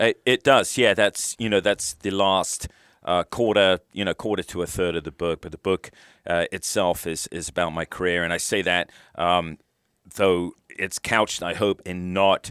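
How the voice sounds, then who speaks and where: In a British accent, a man with a very deep, low pitch speaks with fairly even intonation, the recording very clean with a silent background and a dry, close sound with no echo. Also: moderate pace. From UK. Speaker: retired military officer and author. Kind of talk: interview. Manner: halting.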